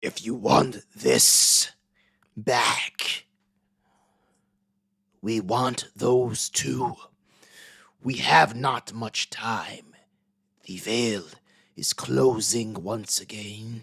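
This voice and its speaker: A man's raspy put-on character voice at medium pitch, very slow, with long, frequent pauses. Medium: actual play. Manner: menacing, speaks collectively as "we".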